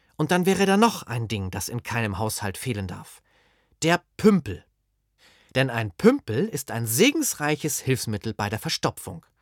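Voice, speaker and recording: Recorded very cleanly against a silent background, a man with a medium pitch speaks at a moderate pace in a dry, close sound with no echo, his loudness swinging widely and his pitch swinging very widely. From northern Germany, Holstein. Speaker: author. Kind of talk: reading aloud.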